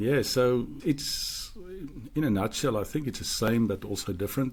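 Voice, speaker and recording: Here a man speaks at a moderate pace with a South African accent. His pitch is medium, with ordinary pitch variation. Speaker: podcast co-host. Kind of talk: casual chat.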